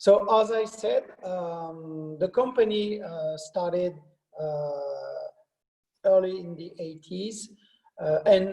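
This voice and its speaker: A man's high-pitched voice with a French accent, very slow pace, big swings in loudness and ordinary pitch variation. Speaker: wine company sales director. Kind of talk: presentation. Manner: halting, many fillers.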